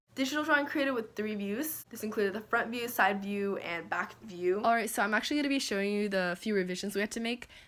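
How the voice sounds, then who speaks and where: Very fast and with hardly any pauses, a woman talks at a fairly high pitch with ordinary pitch variation. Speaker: small business founder and YouTuber. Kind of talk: casual vlog explanation. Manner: casual, filler-heavy.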